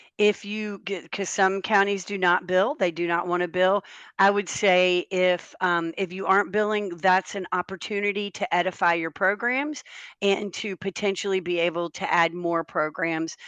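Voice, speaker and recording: A woman with a North Carolina accent talks with fairly even intonation in a dry, close sound with no echo and a quiet background. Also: medium pitch for a woman, moderate pace. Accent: Southern US (North Carolina). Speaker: health software company representative, webinar panelist. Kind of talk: webinar panel discussion. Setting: Zoom webinar. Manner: conversational with frequent fillers.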